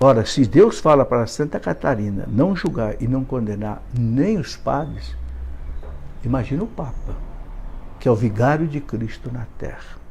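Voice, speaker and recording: This man talks at a fairly slow pace with a dark, mellow tone and vocal fry. His pitch sits at a medium level but swings very widely. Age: 70s. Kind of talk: live video monologue.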